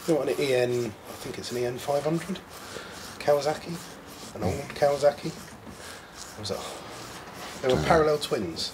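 At a moderate pace broken by long, frequent pauses, a man with an Essex accent speaks with ordinary pitch variation over noticeable background noise. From Essex, England. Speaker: mechanic helper. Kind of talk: casual chat. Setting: workshop. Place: workshop. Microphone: camera far.

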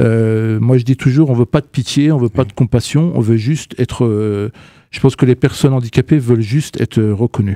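A man's dark, mellow voice at a moderate pace, with ordinary pitch variation, a dry sound with no echo and a quiet background. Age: 40s. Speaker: communication agency director; radio guest. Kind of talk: radio interview. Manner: halting, many hesitations. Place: studio. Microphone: studio mic.

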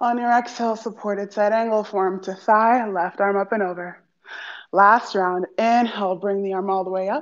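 A woman with a plain, everyday voice speaks at a moderate pace, with a medium pitch and fairly even intonation. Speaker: yoga teacher. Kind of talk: guided meditation. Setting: live stream, video class. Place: gym.

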